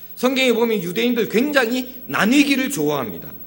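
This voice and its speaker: Against audible room echo, a man with a strong Gyeongsang accent speaks in a high pitch at a moderate pace. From Gyeongsang region, South Korea. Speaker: pastor. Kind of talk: sermon.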